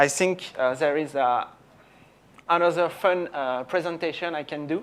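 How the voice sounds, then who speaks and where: Speaking with a French accent, a man has a high pitch and ordinary pitch variation. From France. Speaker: software company executive. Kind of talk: conference talk. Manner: halting, many fillers.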